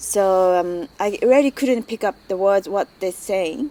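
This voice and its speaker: In a Japanese accent, a woman speaks at a fairly slow pace and medium pitch, with ordinary pitch variation and a dark, mellow tone. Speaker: migrant interviewee. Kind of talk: personal testimony. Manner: halting.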